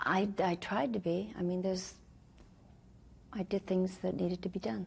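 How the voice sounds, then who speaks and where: A woman speaks at a moderate pace in a medium pitch, with ordinary pitch variation. Her loudness stays very even, and her voice is somewhat breathy. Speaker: actress and singer. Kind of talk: interview answer. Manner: shy.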